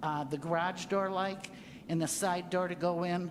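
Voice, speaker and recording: This woman's voice sits fairly low in pitch. She talks at a fairly slow pace, with audible room echo. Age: 70s. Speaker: resident speaking at public comment. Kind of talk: public comment at council meeting. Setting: city council meeting.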